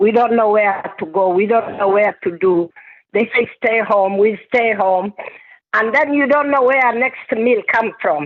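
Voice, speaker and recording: Talking at a fairly slow pace, a woman with a strong non-native accent keeps a very even loudness, her fairly high pitch showing ordinary variation. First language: not English. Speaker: community speaker. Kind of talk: town hall testimony. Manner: halting.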